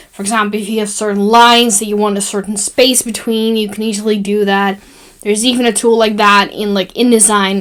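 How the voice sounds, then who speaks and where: Over noticeable background noise, a woman of medium pitch speaks at a fairly quick pace in a monotone, flat intonation. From Netherlands. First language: Dutch. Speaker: graphic design tutorial maker. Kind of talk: tutorial. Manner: casual, with fillers.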